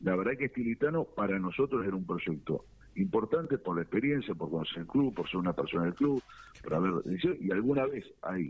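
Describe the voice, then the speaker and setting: A man uses a normal speaking voice and keeps a moderate pace. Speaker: football club official. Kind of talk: interview.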